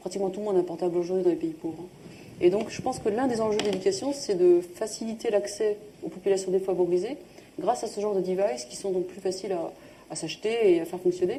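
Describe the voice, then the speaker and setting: Very fast and at a medium pitch, a woman talks with ordinary pitch variation. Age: 40s. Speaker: social entrepreneur. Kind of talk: public talk interview. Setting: live event with audience.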